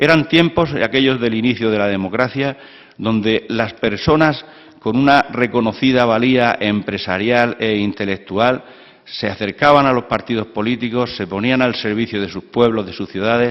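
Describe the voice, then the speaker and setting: A man speaks at medium pitch with a plain, everyday voice. His pace is moderate and his pitch varies in an ordinary way. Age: 60s. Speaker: former mayor and senator, panelist. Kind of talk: round-table talk. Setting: lecture hall with audience.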